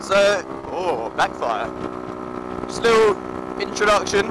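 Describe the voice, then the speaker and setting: Shouting over noticeable background noise, a man's voice rises and falls with lively intonation. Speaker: motovlogger. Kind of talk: casual vlog while riding. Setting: outdoors on a motorcycle. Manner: shouting over engine.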